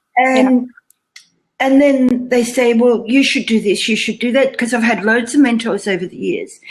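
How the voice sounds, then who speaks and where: A woman speaks with a high pitch and ordinary pitch variation. Her pace is moderate. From Australia. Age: 60s. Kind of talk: interview answer. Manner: lively, casual.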